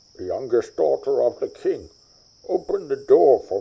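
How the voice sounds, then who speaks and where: A man uses a put-on character voice at an extremely high pitch. He speaks at a moderate pace. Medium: read story. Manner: earnest, gentle.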